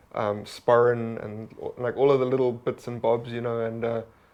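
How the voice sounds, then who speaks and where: Monotone, flat intonation marks this man's delivery. He speaks with a South African accent. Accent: South African accent among Scots. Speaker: stand-up comedian. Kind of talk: casual chat.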